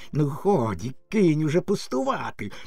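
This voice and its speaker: A man does a put-on character voice, squeaky and fairly high in pitch. He keeps a moderate pace. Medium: read story. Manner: wheedling and sly.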